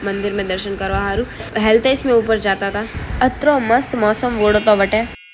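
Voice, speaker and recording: A woman's fairly high voice amid noticeable background noise. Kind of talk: casual vlog narration.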